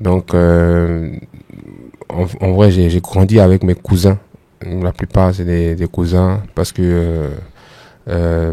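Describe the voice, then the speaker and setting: A man speaks at a very slow pace in a very deep, low voice with a dark, mellow tone, flat monotone intonation, and long, frequent pauses. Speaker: musician and former web comedian. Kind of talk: podcast interview. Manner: halting, many hesitations.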